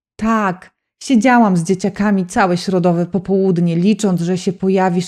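In a very clean recording with a silent background, a woman with a dark, mellow, dramatic tone speaks at medium pitch and a fairly slow pace. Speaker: audiobook narrator. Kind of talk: audiobook narration, romance, with dramatic emotional passages. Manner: dramatic, emotional, expressive, shifts between narration and dialogue voices.

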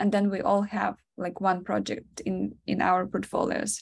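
A woman with a Ukrainian accent at a fairly slow pace. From Ukraine. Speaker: product designer. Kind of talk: webinar presentation. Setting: video call. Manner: giggly, frequent laughter; halting, many fillers. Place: home room. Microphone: video call.

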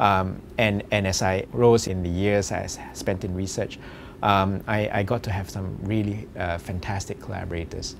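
With noticeable background noise behind him, a man speaks at a fairly slow pace in a very deep, low pitch. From Singapore. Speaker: medical researcher. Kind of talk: interview. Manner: halting, many fillers. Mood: relaxed, reflective. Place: office.

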